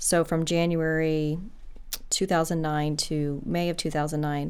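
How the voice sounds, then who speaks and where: A woman's very deep, low voice, monotone and flat in intonation, at a fairly slow pace. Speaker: lawyer. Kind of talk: interview. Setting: studio.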